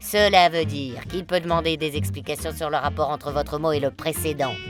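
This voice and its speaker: Music plays behind a woman with a very deep, low voice who talks at a moderate pace in a playful tone, with very wide pitch swings. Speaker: voice-over artist. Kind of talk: quirky game-rules voice-over. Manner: playful, humorous.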